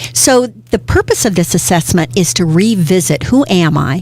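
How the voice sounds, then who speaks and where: A woman's pitch swings very widely while noticeable background noise sits beneath her voice. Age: 60s. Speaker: career coach, business owner. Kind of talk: interview.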